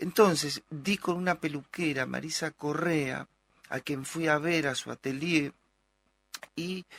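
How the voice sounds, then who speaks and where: In an ordinary speaking voice, a man with a fairly high pitch and ordinary pitch variation speaks at a fairly slow pace, the sound dry and close with no echo on a very clean recording with a silent background. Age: 60s. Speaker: psychoanalyst and actor. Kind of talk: interview.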